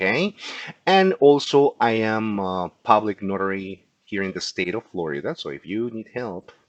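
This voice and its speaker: A man at a moderate pace with lively intonation and a Peruvian accent. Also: big swings in loudness. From Peru, Lima. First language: Spanish. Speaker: insurance agent. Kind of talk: educational class. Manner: halting.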